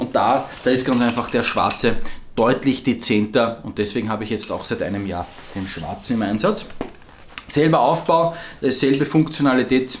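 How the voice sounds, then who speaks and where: Light background noise sits behind a man speaking in an Austrian accent. His pitch varies in an ordinary way. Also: moderate pace. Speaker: survival gear shop owner and video host; product reviewer. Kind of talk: product review video. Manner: casual, with frequent hesitations. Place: office.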